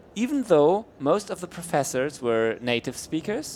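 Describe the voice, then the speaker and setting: A man's fairly high voice swings very widely in pitch as he talks at a fairly slow pace. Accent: German. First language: German. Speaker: event stream host. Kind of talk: interview chat. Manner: halting, many repeats.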